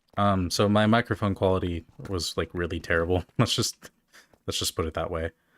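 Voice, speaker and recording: A man's mumbling at a fairly quick pace, very deep and low in pitch with fairly even intonation, in a dry, close sound with no echo and a very clean recording with a silent background. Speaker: streamer, gamer. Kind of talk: casual live-stream commentary. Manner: mumbling, slurred words; halting, many fillers.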